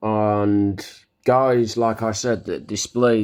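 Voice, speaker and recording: A man speaking at a very slow pace with fairly even intonation, music playing in the background. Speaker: religious vlogger. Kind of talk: opinion monologue. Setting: video recording.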